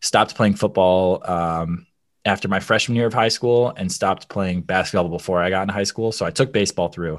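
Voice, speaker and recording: A man's fairly low voice with a Midwestern American accent, fairly quick pace and ordinary pitch variation over a quiet background. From Michigan, US. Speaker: former theme park performer. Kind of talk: casual interview chat.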